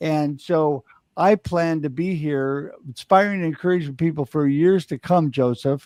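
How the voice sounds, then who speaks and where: A man speaks with an ordinary speaking voice. His pitch variation is ordinary. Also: fairly high pitch for a man. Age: 60s. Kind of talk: panel discussion. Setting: live online panel show.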